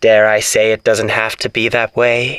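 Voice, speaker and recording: Putting on a character voice, the man talks at medium pitch. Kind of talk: old-time radio showman. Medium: audio drama. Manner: theatrical, mock-polite, amused; menacing under the charm.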